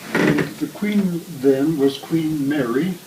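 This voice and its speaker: A man speaks with an American accent and ordinary pitch variation. Noticeable background noise runs underneath. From US Midwest, Iowa. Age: 90s. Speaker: interviewee. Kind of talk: casual chat.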